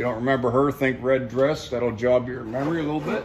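A man's voice over light background noise. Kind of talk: casual vlog chat. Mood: relaxed, fond. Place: workshop. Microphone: phone near.

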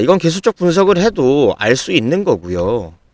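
At a moderate pace, a man speaks with very wide pitch swings. The recording is very clean with a silent background and a dry, close sound with no echo. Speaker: stock market YouTuber. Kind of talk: stock analysis commentary with sales pitch. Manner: emphatic, repetitive.

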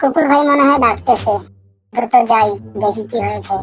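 A female-sounding, cartoonish character voice pitched fairly high. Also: moderate pace. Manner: melodramatic.

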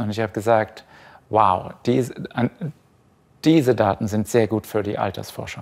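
The pitch of a man's voice varies in an ordinary way. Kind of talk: interview answer. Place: hall.

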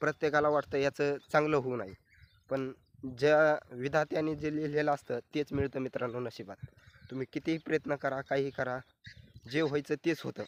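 A man's fairly high-pitched voice with fairly even intonation, dry and close with no echo. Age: 20s. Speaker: vlogger. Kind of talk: casual vlog monologue.

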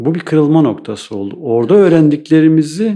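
Lively intonation marks this man's fairly high-pitched voice, which has a dark, mellow tone. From Eastern Turkey, Iğdır. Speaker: architect. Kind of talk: interview. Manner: hesitant, many fillers.

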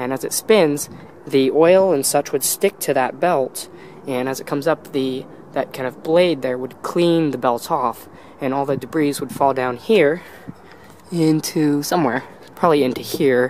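The recording sounds dry with no echo, carrying light background noise, and the speaker keeps a moderate pace. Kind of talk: casual explanatory vlog commentary. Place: factory. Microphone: phone near.

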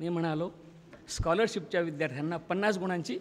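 Ordinary pitch variation in a man's speech. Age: 70s. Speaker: retired school teacher and college principal; retired school teacher. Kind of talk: speech at school reunion. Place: hall. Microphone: podium.

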